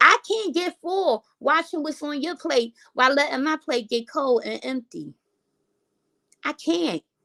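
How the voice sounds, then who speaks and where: A woman's high, bright, sharp voice, raised and projected, with lively intonation, an animated tone, a fairly slow pace and a dry, close sound with no echo. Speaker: content creator. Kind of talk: casual vlog rant.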